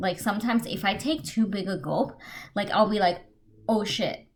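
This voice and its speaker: A woman talks at a fairly slow pace. Her medium-pitched voice is somewhat breathy. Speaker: beauty and travel vlogger. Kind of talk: casual storytime vlog. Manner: casual, hesitant with many fillers.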